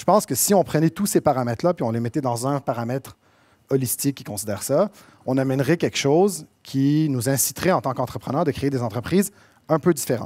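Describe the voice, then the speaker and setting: In a very clean recording with a silent background, a man with a Quebec accent speaks at a fairly quick pace in a fairly high pitch. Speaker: entrepreneur, conference speaker. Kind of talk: conference talk. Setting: stage with audience. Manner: casual, with many fillers.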